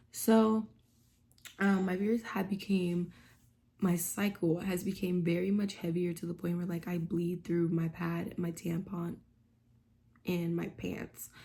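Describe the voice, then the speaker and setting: The voice is dark and mellow, somewhat breathy and monotone with flat intonation, moving at a fairly slow pace with long, frequent pauses. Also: woman, fairly low pitch for a woman. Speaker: vlogger. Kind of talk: casual vlog talk. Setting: at home. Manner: speaking low; many fillers (um).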